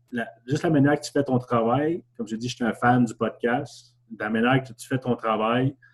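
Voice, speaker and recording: A man with an ordinary speaking voice, fairly even intonation, big swings in loudness and a moderate pace. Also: medium pitch for a man. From Quebec, Gatineau (Hull). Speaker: survivor of family tragedy, graduate student. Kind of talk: testimony.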